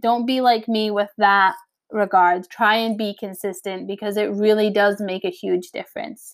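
A woman speaks at a moderate pace and medium pitch in a plain, everyday voice. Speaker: podcast host, online business owner. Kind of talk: casual solo podcast talk. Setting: low-quality home recording.

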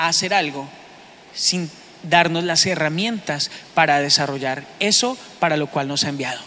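The tone is animated. The pace is moderate. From Bogotá, Colombia. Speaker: pastor. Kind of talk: sermon. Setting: church.

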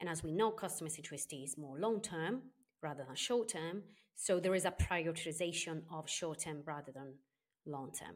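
Loudness swings widely in this woman's fairly low-pitched voice, captured on a very clean recording with a silent background. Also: ordinary pitch variation, fairly quick pace. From Sardinia, Italy. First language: Italian. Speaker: customer experience consultant and author. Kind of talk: interview.

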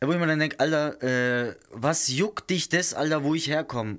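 A very clean recording with a silent background and an animated tone. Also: man. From southern Germany. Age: 30s. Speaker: podcast host. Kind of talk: casual solo monologue.

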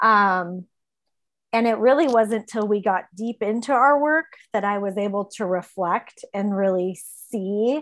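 In an ordinary speaking voice, a woman talks at a fairly slow pace with a fairly high pitch and ordinary pitch variation against a quiet background. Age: 40s. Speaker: teaching assistant sharing her recovery story. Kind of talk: personal testimony in an interview. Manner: frequent filler words (um, like).

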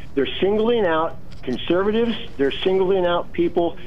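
A man's high voice at a moderate pace over noticeable background noise. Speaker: caller. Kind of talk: heated debate. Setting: phone call.

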